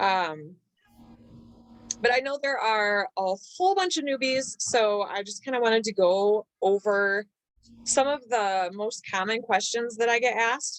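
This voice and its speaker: In a plain, everyday voice, the speaker goes at a fairly slow pace with ordinary pitch variation, in a dry, close sound with no echo. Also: woman, fairly high pitch for a woman. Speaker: network marketing team leader. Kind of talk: online training session.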